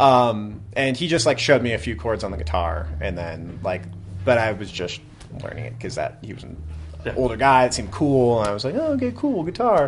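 Over noticeable background noise, a man with an American accent speaks at medium pitch and a fairly quick pace, his intonation lively and his loudness swinging widely. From Vermont, US. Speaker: punk band musician. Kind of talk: casual interview chat. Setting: basement green room of a music venue.

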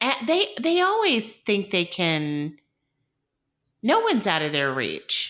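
Very slowly and with long, frequent pauses, a woman with a Southern US accent speaks with very wide pitch swings and very even loudness in a very clean recording with a silent background. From US South, coastal southeast Georgia. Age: 30s. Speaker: dietitian. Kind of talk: casual chat.

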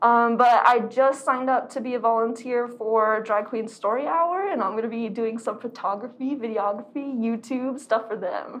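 The speaker has a normal speaking voice with an American accent and ordinary pitch variation. The pace is moderate, with hardly any pauses. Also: woman, fairly high pitch for a woman. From Arizona. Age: 20s. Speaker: artist and activist. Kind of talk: casual chat.

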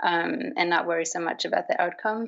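Speaking in a Swedish accent, a woman has a fairly low voice. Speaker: artist. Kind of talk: interview. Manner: hesitant, with fillers.

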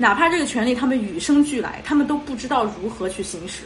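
A woman talks at a high pitch with very wide pitch swings. Noticeable background noise and audible room echo surround her voice. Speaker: podcast host. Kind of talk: casual chat. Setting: video call.

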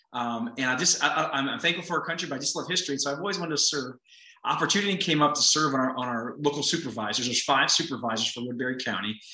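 Talking at a very fast pace, a man with a fairly high pitch and ordinary pitch variation comes through over noticeable background noise. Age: 40s. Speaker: pastor and county supervisor. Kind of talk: interview conversation. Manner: fast talker, energetic; animated.

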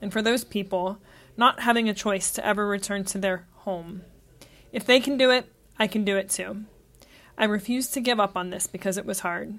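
On a very clean recording with a silent background, a woman at a medium pitch talks at a fairly quick pace with fairly even intonation and long, frequent pauses. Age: 30s. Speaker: travel podcaster. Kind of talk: scripted narration.

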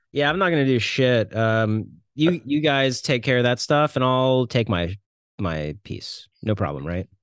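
Against a quiet background, a man at a medium pitch speaks at a fairly slow pace with lively intonation. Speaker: podcast host. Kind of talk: casual chat. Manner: animated.

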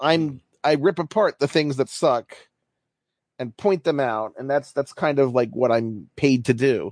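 Against a quiet background, a man with an American accent and a plain, everyday voice talks fairly slowly, his fairly high pitch showing ordinary variation. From US, Baltimore. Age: 40s. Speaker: baseball writer. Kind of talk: casual chat.

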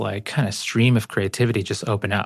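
On a very clean recording with a silent background, a man with a plain, everyday voice speaks at a moderate pace, medium in pitch and fairly even in intonation. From Ecuador (Guayaquil), raised in the US. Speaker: poet and author. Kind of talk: casual conversation.

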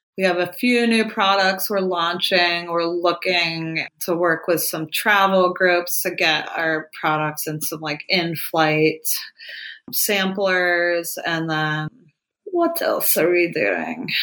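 Speaking very slowly in an American accent, a woman uses a fairly low, bright, sharp voice with fairly even intonation on a very clean recording with a silent background. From Ohio. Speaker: cannabis beauty brand founder. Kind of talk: casual interview.

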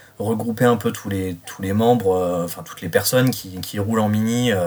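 This man's fairly low voice keeps a fairly even intonation at a moderate pace. Noticeable background noise runs underneath. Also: big swings in loudness. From Reims, France. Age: 30s. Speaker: car enthusiast. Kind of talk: interview. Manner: halting.

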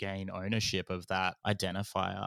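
A bright, sharp tone carries an Australian accent in monotone, flat intonation. The sound is dry and close with no echo, on a very clean recording with a silent background. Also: man. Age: 30s. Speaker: podcast company founder. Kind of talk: interview.

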